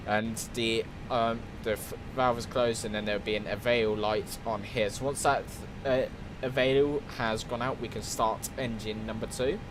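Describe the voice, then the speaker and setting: A man speaks at medium pitch and a moderate pace, his intonation monotone and flat. Music plays in the background, and there is audible room echo. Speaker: flight simulator streamer. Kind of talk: gameplay tutorial commentary.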